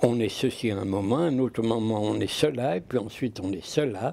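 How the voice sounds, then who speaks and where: The speech moves at a moderate pace. Its tone is dark and mellow. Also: man. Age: 80s+. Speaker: philosopher. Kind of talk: interview answer. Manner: passionate.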